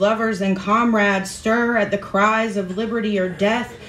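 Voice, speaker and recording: A woman speaks in a dramatic tone at a moderate pace, with audible room echo. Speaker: open mic performer. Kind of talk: spoken word poetry at an open mic, after a chatty, laughing intro. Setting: stage with audience at an open mic. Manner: formal, literary, dramatic delivery with dense imagery; conversational, self-deprecating and laughing in the intro. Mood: solemn, measured. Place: stage.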